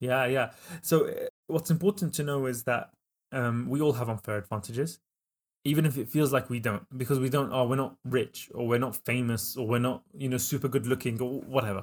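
Recorded very cleanly against a silent background, a medium-pitched man with a British accent talks at a fairly quick pace with ordinary pitch variation. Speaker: entrepreneur and author. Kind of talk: casual interview.

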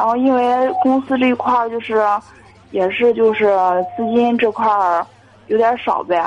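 A woman at a moderate pace, ordinary pitch variation, and noticeable background noise. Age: 20s. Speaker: caller, young saleswoman. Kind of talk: call-in advice chat. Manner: hesitant, many fillers.

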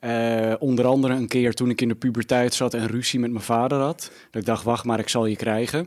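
In a very clean recording with a silent background, a man of medium pitch talks at a fairly quick pace in a flat monotone, with hardly any pauses. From Netherlands, Almere. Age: 30s. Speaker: media personality. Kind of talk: casual chat. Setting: studio.

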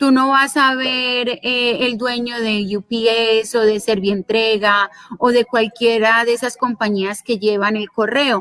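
A woman's fairly high voice, very slow in pace, with fairly even intonation. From Colombia. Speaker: lawyer and digital business and personal finance educator. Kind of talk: interview.

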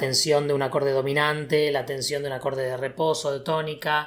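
A man's fairly high-pitched voice with monotone, flat intonation. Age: 20s. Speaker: podcast host and video game developer. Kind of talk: casual chat.

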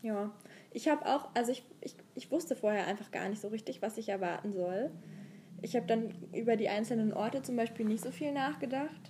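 A woman's fairly high, somewhat breathy voice, dark and mellow in tone, with lively intonation and a fairly quick pace. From Saxony, Dresden area. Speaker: podcast co-host. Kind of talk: casual chat. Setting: travelling abroad in Thessaloniki.

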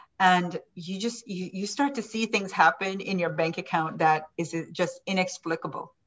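Somewhat breathy, a woman of medium pitch talks at a moderate pace with ordinary pitch variation and hardly any pauses. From Jamaica. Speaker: business and manifestation coach. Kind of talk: interview, motivational teaching.

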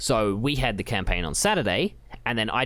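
Someone talks at a moderate pace in an Australian accent. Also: man. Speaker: podcast co-host. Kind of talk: casual chat.

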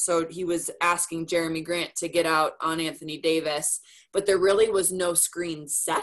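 An unremarkable speaking voice, moderate in pace, with an American accent. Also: woman. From Minnesota. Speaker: sports reporter and TV anchor. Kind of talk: casual interview. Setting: video call.

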